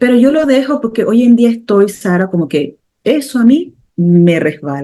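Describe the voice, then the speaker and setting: A woman speaks with lively intonation. Her tone is dark and mellow. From Panama, Caribbean coast (Colón). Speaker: medium and spiritual therapist. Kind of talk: interview conversation.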